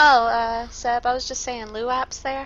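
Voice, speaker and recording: Over a quiet background, a woman speaks with a bright, sharp tone. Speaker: gaming streamer. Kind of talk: live gameplay commentary. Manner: fast talker; animated.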